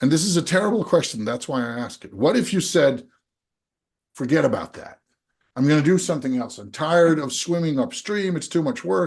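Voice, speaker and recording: Moving at a fairly quick pace, a man's voice swings very widely in pitch and heavily in loudness. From Denmark. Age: 40s. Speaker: innovation coach, podcast host. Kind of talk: coaching conversation. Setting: podcast.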